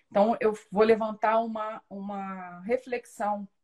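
In a somewhat breathy voice, a woman talks at a very slow pace. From Rio de Janeiro state, Brazil (São Gonçalo). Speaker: coach supporting trainees. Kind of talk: casual interview on a live podcast.

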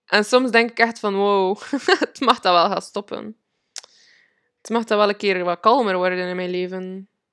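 On a very clean recording with a silent background, a woman speaks at a moderate pace and medium pitch. Her intonation is fairly even, and the sound is dry and close with no echo. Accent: Flemish. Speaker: podcast host and manifestation coach. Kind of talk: personal storytelling monologue. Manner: halting, many fillers; frequent laughter.

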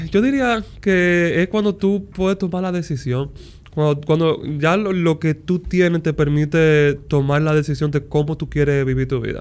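A man speaks in an ordinary speaking voice pitched fairly high. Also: ordinary pitch variation, fairly slow pace. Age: 30s. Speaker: music producer and mentor. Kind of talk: casual chat.

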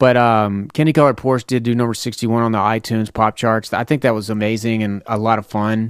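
In a very clean recording with a silent background and a dry, close sound with no echo, a man with a Tennessee accent talks very fast at a medium pitch, monotone and flat, with hardly any pauses. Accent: Southern US (Tennessee). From US South, Lebanon, Tennessee. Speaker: rapper and podcast host. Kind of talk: casual monologue. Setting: home studio.

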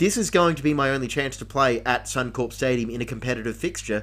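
A male speaker's pitch rises and falls in an ordinary way. Background music accompanies him. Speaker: podcast host. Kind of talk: casual banter, recap. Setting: home recording, dog in room.

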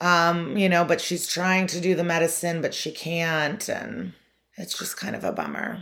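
Here is a woman with an American accent and an unremarkable speaking voice, pitched fairly low, with fairly even intonation. She talks at a moderate pace on a very clean recording with a silent background. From US Midwest, Chicago suburbs. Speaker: comedian. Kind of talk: casual chat.

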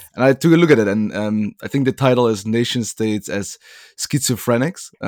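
A man with a plain, everyday voice, medium pitch and ordinary pitch variation, at a moderate pace with big swings in loudness and a dry, close sound with no echo. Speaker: podcast host. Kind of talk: interview on a podcast.

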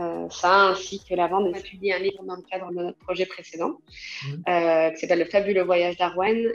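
This woman talks at a fairly quick pace in a monotone, flat intonation. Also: medium pitch for a woman. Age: 30s. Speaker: association founder. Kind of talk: interview. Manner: hesitant, many fillers.

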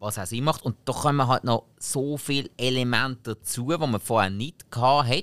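With a Swiss accent, a man speaks at a moderate pace with hardly any pauses, in a dry, close sound with no echo. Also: medium pitch for a man, ordinary pitch variation. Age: 30s. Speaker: podcast co-host. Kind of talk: casual chat.

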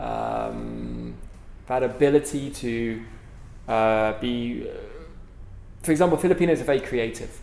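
A London accent at a fairly slow pace, with long, frequent pauses and noticeable background noise. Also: man. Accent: British English, London. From London, England. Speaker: author and speaker. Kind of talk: casual interview conversation. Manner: hesitant, many fillers and repeats.

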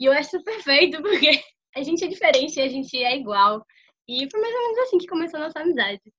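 Talking very fast, a woman with a high voice and a bright, sharp tone swings her pitch very widely. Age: 20s. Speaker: podcast co-host. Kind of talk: casual chat. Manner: talkative.

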